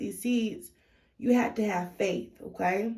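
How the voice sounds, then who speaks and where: A woman speaks at a very slow pace. Her voice has vocal fry. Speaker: tarot reader. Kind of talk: tarot reading monologue. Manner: loud; hesitant, many fillers.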